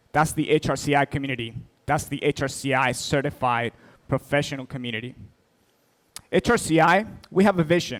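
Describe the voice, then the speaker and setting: Dry, close sound with no echo, carrying a man's fairly high voice at a moderate pace with an American accent. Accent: American accent with a Spanish twist. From Spain. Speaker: keynote speaker, certification executive. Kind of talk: keynote speech. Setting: stage with audience.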